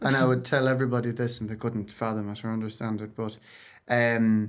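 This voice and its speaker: With an Irish accent, a man is talking. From Ireland. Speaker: singer-songwriter. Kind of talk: interview.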